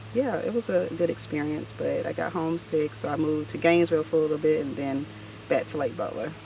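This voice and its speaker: Someone speaks at a very fast pace in an American accent over noticeable background noise. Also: woman. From US South, north Florida small town. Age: 30s. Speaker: makeup artist. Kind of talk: casual interview.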